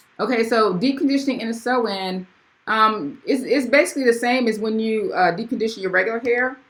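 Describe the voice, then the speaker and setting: Using ordinary pitch variation, a woman speaks at a fairly quick pace in a fairly high voice. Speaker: hairstylist and video creator. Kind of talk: live stream Q&A. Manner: fast; casual, with fillers and restarts.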